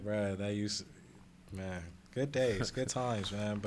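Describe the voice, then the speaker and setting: A man's fairly low voice with a calm tone, fairly even intonation and a fairly slow pace. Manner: laid-back, calm.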